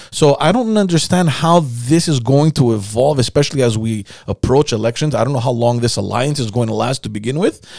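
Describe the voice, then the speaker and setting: An unremarkable speaking voice moves at a fairly quick pace with lively intonation and hardly any pauses. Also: man, medium pitch for a man. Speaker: podcast host. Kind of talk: casual interview.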